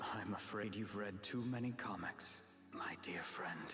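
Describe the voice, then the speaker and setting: Whispering in a put-on character voice, a man talks at a fairly slow pace over clear background noise. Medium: video game. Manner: measured, formal.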